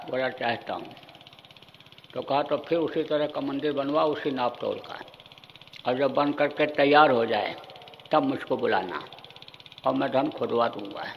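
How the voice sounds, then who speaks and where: Amid noticeable background noise and audible room echo, a man with a fairly high pitch speaks with fairly even intonation and long, frequent pauses. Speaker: spiritual guru. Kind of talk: sermon. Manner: stern, forceful; repetitive, emphatic.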